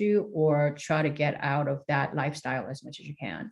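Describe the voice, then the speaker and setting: A woman with a Korean accent speaks at a moderate pace. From South Korea. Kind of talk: interview.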